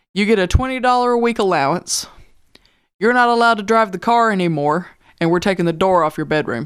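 A fairly quick, lively-intoned delivery in a Southern US accent, on a very clean recording with a silent background. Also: woman. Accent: Southern twang. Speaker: high school history teacher. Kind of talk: casual chat.

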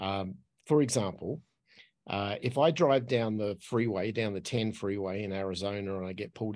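A man speaks with an Australian accent at a fairly low pitch. His pitch varies in an ordinary way. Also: quiet background. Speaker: podcast host and expat. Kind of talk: casual interview chat.

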